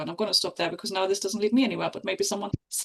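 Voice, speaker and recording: A woman with a German accent, medium pitch and fairly even intonation. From East Germany. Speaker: podcast panelist. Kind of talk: casual discussion.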